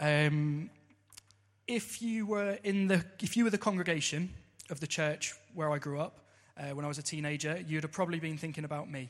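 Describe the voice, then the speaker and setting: A man speaks with a southern English accent, his pitch fairly high. The recording is very clean with a silent background, and his pitch varies in an ordinary way. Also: moderate pace. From Southampton, southern England. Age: 30s. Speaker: church member. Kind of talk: testimony. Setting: church service. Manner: partly read from notes.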